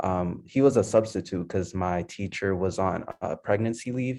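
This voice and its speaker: A man with an ordinary speaking voice and an American accent talks at a fairly low pitch and a fairly slow pace. His intonation stays fairly even over a quiet background. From Lowell, Massachusetts. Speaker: college student. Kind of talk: panel discussion.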